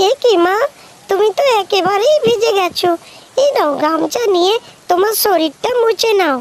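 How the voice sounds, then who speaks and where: A woman performs a cartoonish character voice at an extremely high pitch, with lively intonation. Her pace is moderate and her loudness stays very even. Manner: brisk, scolding.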